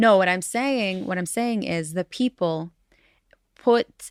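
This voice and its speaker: A woman speaks at a fairly slow pace with a medium pitch and ordinary pitch variation. The sound is dry and close with no echo, on a very clean recording with a silent background. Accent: American. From Jerusalem. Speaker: podcast co-host, peace builder. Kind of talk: casual chat. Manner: halting.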